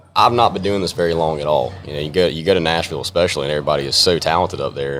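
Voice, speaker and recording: Music plays behind a man with an American accent and a very deep, low pitch. He talks at a very fast pace with ordinary pitch variation. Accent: country twang. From North Carolina mountains. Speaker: country music artist. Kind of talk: casual interview.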